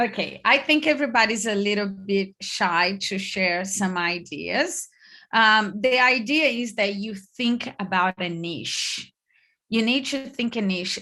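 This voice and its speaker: A woman of medium pitch speaks loud and fairly slowly with a Brazilian accent, her tone bright and sharp and her intonation lively, against a quiet background. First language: Portuguese. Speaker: online business coach. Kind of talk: online workshop.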